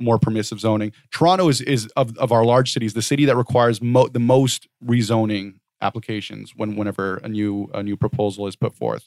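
At a fairly quick pace, a man with a normal speaking voice talks at a medium pitch with ordinary pitch variation, the sound dry and close with no echo. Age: 30s. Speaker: housing advocacy nonprofit founder. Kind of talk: interview.

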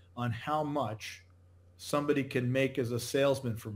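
In a very clean recording with a silent background, a man with an American accent uses a normal speaking voice at medium pitch, with fairly even intonation and a moderate pace. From New England, Connecticut. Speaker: company founder and CEO. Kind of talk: interview.

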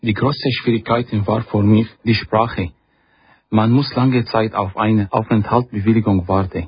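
A man with an Arabic accent speaks at a fairly slow pace in a fairly low, somewhat breathy voice with fairly even intonation. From Syria. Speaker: refugee, marine engineer. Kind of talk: reading aloud. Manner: halting.

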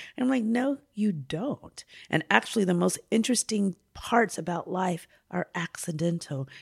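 A plain, everyday voice, a woman at medium pitch with lively intonation and a moderate pace, in a dry, close sound with no echo. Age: 50s. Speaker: poet. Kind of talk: casual chat. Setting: hotel room.

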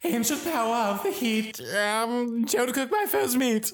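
A female-sounding, put-on character voice speaks fairly slowly at a fairly high pitch. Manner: stammering.

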